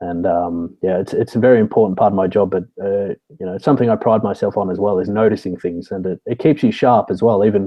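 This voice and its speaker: Speaking at a very fast pace with hardly any pauses, a man with an Australian accent uses fairly even intonation at a fairly low pitch. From Australia, Sydney. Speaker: security consultant, military veteran. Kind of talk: interview.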